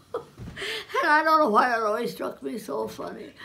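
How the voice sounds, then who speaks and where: A woman's fairly high, bright, sharp voice with vocal fry at a very slow pace. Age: 80s+. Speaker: local historian. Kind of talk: oral history storytelling. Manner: halting, conversational.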